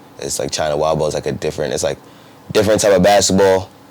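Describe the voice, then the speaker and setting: A man talks over noticeable background noise. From New Jersey. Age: 20s. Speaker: professional basketball player. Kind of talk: interview. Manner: casual, halting with fillers.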